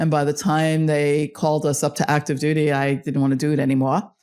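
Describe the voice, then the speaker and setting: With a Long Island accent, a woman speaks at a moderate pace and a very deep, low pitch. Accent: Long Island New York. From Long Island, New York. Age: 60s. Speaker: fintech executive and consultant. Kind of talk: interview. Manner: animated.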